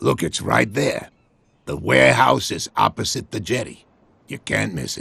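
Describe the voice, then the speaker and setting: A man puts on a character voice that is raspy and very deep, with very wide pitch swings and big swings in loudness. He speaks at a moderate pace. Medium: video game. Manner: warm, folksy.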